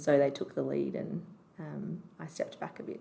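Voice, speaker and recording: At a moderate pace, the woman talks in an Australian accent. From Canberra, Australia. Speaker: doctor. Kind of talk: podcast interview.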